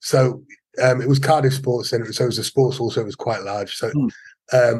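The man's voice sounds somewhat breathy. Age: 50s. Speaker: martial arts instructor. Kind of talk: casual interview.

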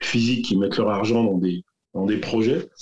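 Fairly low male voice, its pitch varying in an ordinary way. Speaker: entrepreneur, business network founder. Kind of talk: casual interview. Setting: video call. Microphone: poor audio quality over video call.

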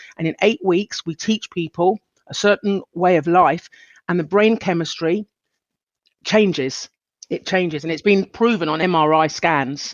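This woman has a normal speaking voice with a fairly low pitch. She talks at a fairly slow pace with ordinary pitch variation. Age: 50s. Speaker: mindfulness coach. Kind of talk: interview conversation.

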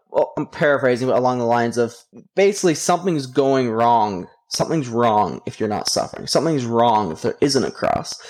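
An American-accented man speaks in an ordinary speaking voice at medium pitch. His pace is fairly quick and his intonation lively. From US, Idaho. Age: 20s. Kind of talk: interview. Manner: casual, with many fillers.

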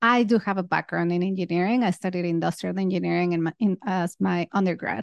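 Speaking at a very fast pace with hardly any pauses, a woman uses a fairly low pitch. The sound is dry and close with no echo over a quiet background. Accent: Spanish. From Mexico. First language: Spanish. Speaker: podcast host and fintech product leader. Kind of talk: solo podcast monologue. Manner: animated.

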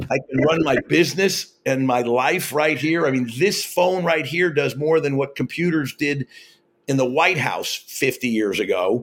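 A man with an American accent has an unremarkable speaking voice, fairly high in pitch with ordinary pitch variation, very even loudness and a fairly slow pace. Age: 60s. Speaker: network marketing entrepreneur. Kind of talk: interview.

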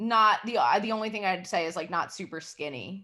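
In a very clean recording over a silent background, a woman speaks in a bright, sharp tone with ordinary pitch variation. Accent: American. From New York City. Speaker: comedian. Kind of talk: casual chat.

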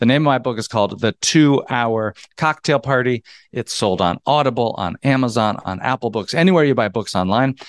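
A man speaks at a medium pitch with ordinary pitch variation and an animated tone, recorded with a dry, close sound, no echo and a quiet background. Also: hardly any pauses. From US South (North Georgia). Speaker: author and entrepreneur. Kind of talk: interview.

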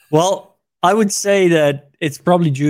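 A man speaks with a Dutch accent. The recording is very clean, with a silent background. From Netherlands. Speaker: tech expert. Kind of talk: casual interview.

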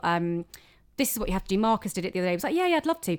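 In a very clean recording with a silent background, a woman speaks with a British accent. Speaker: comedian. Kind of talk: casual chat interview. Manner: sarcastic-sounding tone.

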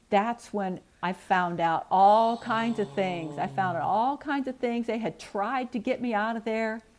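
With a plain, everyday voice, a woman talks at a fairly slow pace with hardly any pauses, her fairly high pitch rising and falling in lively intonation. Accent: American. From US Midwest, St. Louis area. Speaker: birth mother. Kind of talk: personal testimony.

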